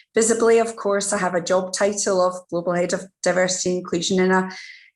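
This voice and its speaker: Speaking at a fairly quick pace, a woman with a Scottish accent keeps a medium pitch and fairly even intonation. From Scotland. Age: middle-aged. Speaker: diversity and inclusion executive. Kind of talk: interview.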